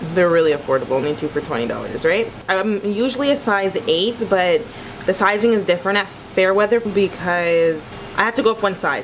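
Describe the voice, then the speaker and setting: Her intonation is lively as the woman talks at a moderate pace. Light background noise can be heard. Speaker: vlogger. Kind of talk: casual vlog chat. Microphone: phone near.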